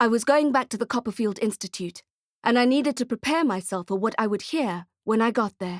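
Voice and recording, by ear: The words are read aloud in a natural voice. Behind them, the background stays quiet.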